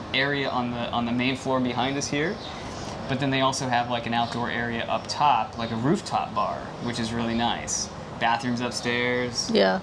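A man at a moderate pace, fairly even intonation, with noticeable background noise. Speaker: beer reviewer vlogger. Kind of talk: casual vlog chat. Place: bar. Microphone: lapel.

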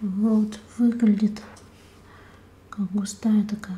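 A woman with a fairly high pitch speaks in a gentle tone with monotone, flat intonation. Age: 30s. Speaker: beauty vlogger. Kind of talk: ASMR haul, whispered unboxing of cosmetics. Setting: home, close to a sensitive microphone. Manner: soft, hushed, slow and intimate; gentle, unhurried, musing aloud while rustling packaging. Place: home room.

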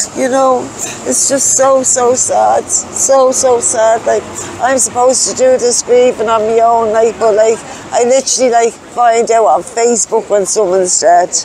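In a Dublin accent, a woman with a fairly high pitch and ordinary pitch variation speaks at a moderate pace and very even loudness, the sound dry with no echo over light background noise. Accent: Dublin Irish. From Ireland, Dublin (Clondalkin). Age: 40s. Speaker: person in recovery from addiction, homeless; interviewee. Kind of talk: testimony. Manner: halting. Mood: sad, grieving. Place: street. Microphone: lapel.

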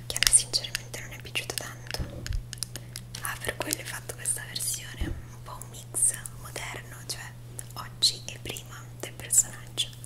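A woman whispers softly at a moderate pace, with long, frequent pauses, big swings in loudness and noticeable background noise. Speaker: ASMR roleplay host. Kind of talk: ASMR roleplay, makeup and cosplay. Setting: studio, close-mic. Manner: soft-spoken, relaxing; whispered. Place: home room.

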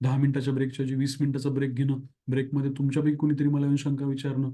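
The tone is dark and mellow, somewhat breathy. Intonation stays monotone and flat. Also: man. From Marathwada, Maharashtra (Dharashiv). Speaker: exam coaching teacher. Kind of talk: course announcement.

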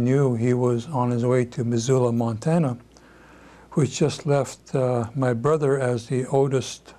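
With an American accent, this man speaks fairly slowly in a dark, mellow tone at medium pitch. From Seattle, USA. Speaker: civil rights leader. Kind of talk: oral history interview answer. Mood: reflective, calm recollection. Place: home room.

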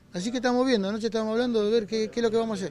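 With a high pitch, a man is heard in a dry sound with no echo and light background noise. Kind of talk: interview answer. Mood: shaken but calm. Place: shop. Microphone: handheld.

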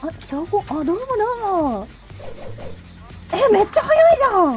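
With music in the background, a woman in a playful tone speaks at a fairly slow pace, her extremely high voice making very wide pitch swings. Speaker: VTuber streamer. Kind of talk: casual gameplay stream commentary. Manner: excitable, playful.

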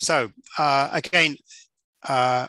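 In a quiet background with a dry sound and no echo, a man speaks at a fairly high pitch with a bright, sharp tone. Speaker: course instructor. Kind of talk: lecture. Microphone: headset.

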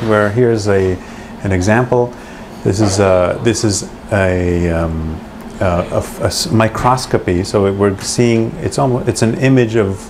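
Noticeable background noise sits behind a man's fairly low voice. He talks at a moderate pace with ordinary pitch variation and very even loudness. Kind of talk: explanatory demonstration. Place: office. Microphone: lapel.

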